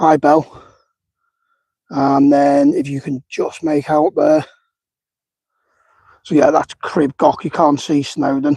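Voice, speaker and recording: Long, frequent pauses break up the speech. The pace is very slow. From northern England, near Liverpool. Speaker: outdoor vlogger. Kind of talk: live-stream walking commentary. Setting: outdoors on a hillside walk. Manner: casual, chatty.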